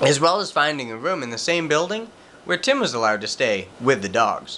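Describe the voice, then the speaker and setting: With very wide pitch swings, a man with a fairly high pitch talks at a fairly quick pace. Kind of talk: reading prepared statement.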